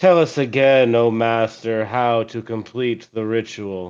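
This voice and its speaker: A man in a put-on character voice, medium in pitch, at a fairly slow pace. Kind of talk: ritual, formal. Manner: deadpan.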